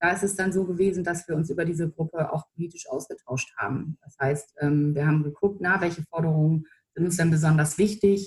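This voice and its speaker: Speaking at a fairly quick pace, a woman with a somewhat breathy, fairly low voice keeps her intonation fairly even in a dry, close recording with no echo. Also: hardly any pauses. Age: 30s. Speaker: political press spokesperson. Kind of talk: interview.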